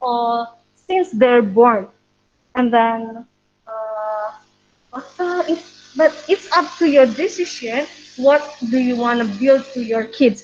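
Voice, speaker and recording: The delivery is very slow, with long, frequent pauses. The intonation is lively. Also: woman, high pitch for a woman. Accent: Indonesian. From Indonesia. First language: Indonesian. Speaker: preschool English teacher. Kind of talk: webinar talk. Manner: halting.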